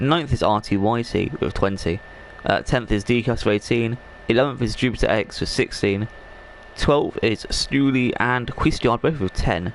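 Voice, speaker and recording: At a moderate pace and very even loudness, a man talks over noticeable background noise. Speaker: esports league commentator. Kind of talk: live game commentary stream. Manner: casual, rambling.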